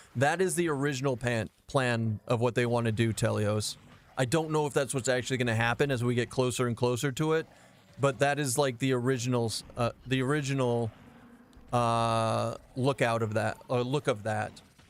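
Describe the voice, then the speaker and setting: The speech moves at a moderate pace with very even loudness and fairly even intonation. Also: man, medium pitch for a man. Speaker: game streamer. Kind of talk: live gameplay stream chat. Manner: casual, chatty.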